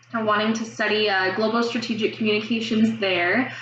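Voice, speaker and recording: Noticeable background noise and audible room echo surround a woman's voice. Her pitch is fairly high, and her intonation fairly even. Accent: American. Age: 20s. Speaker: student. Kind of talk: mock job interview answers to camera. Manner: fast; hesitant, many fillers.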